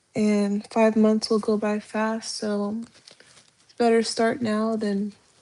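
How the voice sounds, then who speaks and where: The woman speaks at a very slow pace in a fairly high pitch. Her intonation is monotone and flat. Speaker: live streamer and respiratory therapy student. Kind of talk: casual live stream chat. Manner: halting, many fillers.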